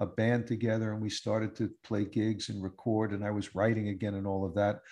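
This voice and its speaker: This man has a plain, everyday voice at a medium pitch, with an American accent. He talks at a fairly quick pace against a quiet background. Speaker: musician and podcast host. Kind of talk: interview.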